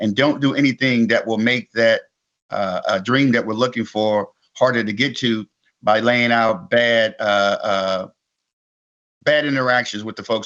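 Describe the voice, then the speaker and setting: His voice is pitched in the middle range for a man. The tone stays fairly level throughout. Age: 60s. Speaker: keynote speaker. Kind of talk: interview. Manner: halting.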